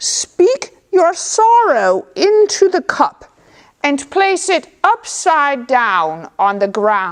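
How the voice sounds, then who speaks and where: A put-on character voice, female-sounding and extremely high-pitched, with very wide pitch swings at a very slow pace. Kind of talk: folk tale storytelling. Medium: read story. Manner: warm, unhurried, knowing.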